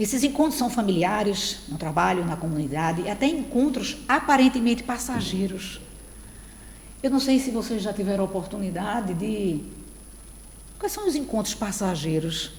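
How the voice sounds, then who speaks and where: In a room with audible echo, a woman speaks with lively intonation at a moderate pace. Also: medium pitch for a woman. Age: 60s. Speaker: spiritist lecturer. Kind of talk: lecture. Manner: conversational, addressing audience.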